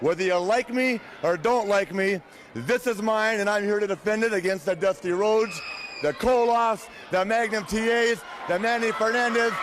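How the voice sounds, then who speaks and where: Over noticeable background noise, a man speaks at a moderate pace in a high pitch, with ordinary pitch variation and very even loudness. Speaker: professional wrestler. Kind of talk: wrestling promo.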